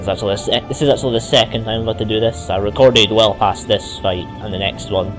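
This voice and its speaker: With music in the background, a man talks very fast in a slight Scottish accent. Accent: mild Scottish. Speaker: let's play gamer. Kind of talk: gameplay commentary. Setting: cheap microphone. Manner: casual, conversational.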